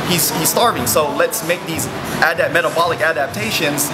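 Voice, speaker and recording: Loud background noise fills the recording. The speaker talks at a fairly quick pace. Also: man. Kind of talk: casual vlog chat. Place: gym.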